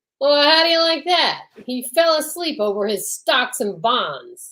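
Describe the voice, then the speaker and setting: A loud, gruff put-on character voice from a woman, high in pitch, at a moderate pace. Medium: old radio play.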